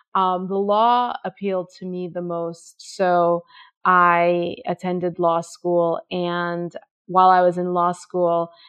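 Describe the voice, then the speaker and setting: The speaker is a woman with an American accent. She talks very slowly in a monotone, flat way. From Jamaica, then New York. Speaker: fashion editor and blogger. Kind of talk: interview.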